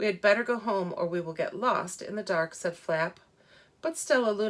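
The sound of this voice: What is heard here is an unforced reading voice.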